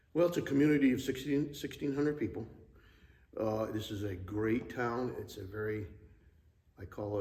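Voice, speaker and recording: A man's somewhat breathy voice, dark and mellow in tone, with audible room echo. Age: 60s. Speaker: church member, Navy retiree. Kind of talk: interview. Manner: hesitant, many fillers.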